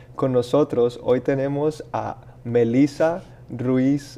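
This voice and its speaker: Delivered with fairly even intonation, the speech unfolds at a very slow pace. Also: man. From Colombia. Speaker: podcast host. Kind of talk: casual chat.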